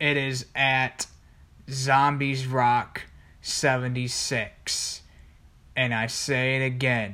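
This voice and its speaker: A man with a medium pitch talks at a very slow pace with long, frequent pauses. His tone is bright and sharp, his intonation monotone and flat. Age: young. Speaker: video blogger. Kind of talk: casual rant.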